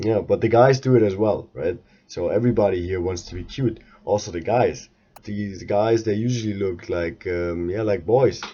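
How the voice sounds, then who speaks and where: A man speaks with a fairly low pitch and a dark, mellow tone, showing ordinary pitch variation over a quiet background. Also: moderate pace. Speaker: podcaster. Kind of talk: casual monologue podcast. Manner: halting, many filler sounds.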